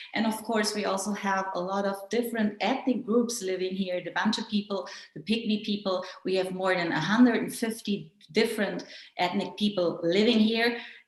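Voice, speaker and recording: In a German accent, a woman with a medium pitch speaks at a moderate pace amid noticeable background noise. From Germany. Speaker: journalist and conference moderator. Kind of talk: conference moderation. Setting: online digital conference.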